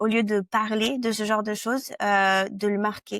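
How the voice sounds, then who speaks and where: On a very clean recording with a silent background and a dry, close sound with no echo, a woman at medium pitch speaks fairly slowly in a monotone, flat way. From France. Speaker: product marketing director. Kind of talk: interview. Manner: halting, many hesitations.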